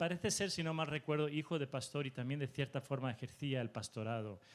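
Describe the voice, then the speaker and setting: His speech carries a Spanish accent. This man talks fairly quickly. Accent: Spanish (Spain) accent, acquired. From Mexico. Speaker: preacher. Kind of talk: sermon.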